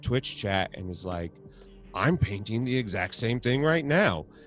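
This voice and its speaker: A man speaks with music playing in the background. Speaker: podcast host and twitch streamer. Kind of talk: casual chat. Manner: mumbles a lot; animated.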